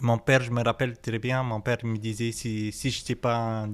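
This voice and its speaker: With an Arabic accent, the speaker talks at a moderate pace in a monotone, flat intonation, captured in a very clean recording with a silent background. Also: man. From Tunisia. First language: Arabic (speaking French). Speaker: cook. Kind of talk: interview. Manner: hesitant, many fillers.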